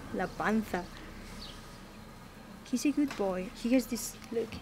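A woman at a fairly high pitch and slow pace, slightly mellow in tone, with ordinary pitch variation and faint background noise

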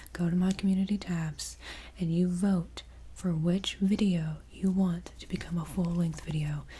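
A soft-spoken woman is talking. Light background noise can be heard. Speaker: ASMR creator. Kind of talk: role-play talk to viewer. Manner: soft, close-mic ASMR speech, bossy. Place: home room. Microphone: studio mic.

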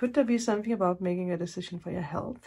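A woman speaks in a dark, mellow tone that is somewhat breathy. Her pitch variation is ordinary. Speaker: tarot reader. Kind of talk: casual reading commentary. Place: home room. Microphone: phone near.

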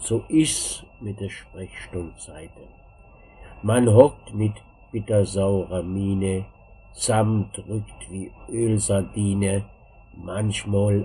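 Very slow and very deep, a man's voice low in pitch moves with ordinary pitch variation. Noticeable background noise runs underneath. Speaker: German language teacher. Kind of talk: dialect poetry reading.

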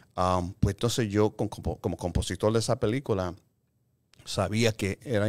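Over a quiet background, a man talks at a fairly slow pace. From Chicago, Puerto Rican family. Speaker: film composer and music producer; guest. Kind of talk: casual interview. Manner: halting, mixing Spanish and English. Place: meeting room. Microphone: studio mic.

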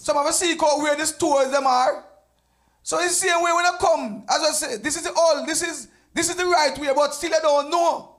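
A man with a Jamaican accent, extremely high-pitched, at a moderate pace with fairly even intonation against a quiet background. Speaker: church deacon; evangelist teaching a lesson. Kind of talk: church Bible study discussion; sermon. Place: church. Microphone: handheld.

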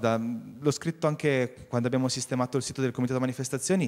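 Against a quiet background, a man is speaking. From Vercelli, Piedmont, northern Italy; Piedmont, Italy. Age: young. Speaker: local carnival organizer; TV guest. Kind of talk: TV talk show interview. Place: studio. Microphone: handheld.

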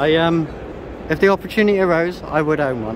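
Over noticeable background noise, a man with a British accent talks at a fairly quick pace with ordinary pitch variation. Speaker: classic vehicle vlogger. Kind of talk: casual walkthrough vlog. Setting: busy exhibition hall at a classic car show.

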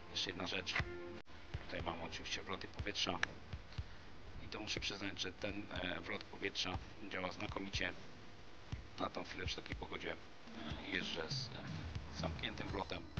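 Speech moves at a moderate pace with long, frequent pauses. Music plays in the background. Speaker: scooter vlogger. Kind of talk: product review vlog chat. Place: open country. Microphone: camera far.

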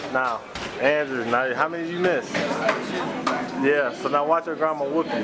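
Male speech at a moderate pace amid loud background noise. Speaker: person filming, family member. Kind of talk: casual chat. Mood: playful teasing. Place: hall.

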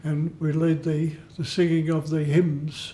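A man's high-pitched voice at a very slow pace. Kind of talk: interview answer. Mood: proud, modest. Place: home room.

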